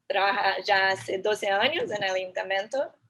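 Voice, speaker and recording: In a Brazilian accent, a woman with a bright, sharp tone talks at a moderate pace with ordinary pitch variation. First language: Portuguese (speaking Spanish). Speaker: architect and urban planner, lecturer. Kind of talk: lecture.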